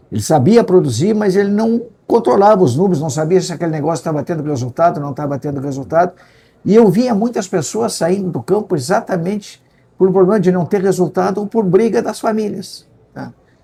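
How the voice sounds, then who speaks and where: At a fairly quick pace, a man talks in a dark, mellow tone with high pitch and lively intonation. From Rio Grande do Sul, Brazil (Pelotas area). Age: 70s. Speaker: agricultural economist and consultant, retired professor. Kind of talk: interview.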